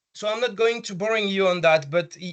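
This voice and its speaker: A man with a French accent, ordinary pitch variation and a quiet background. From France. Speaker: healthcare technology business development manager. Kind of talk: conference presentation. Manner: halting, many fillers and repetitions.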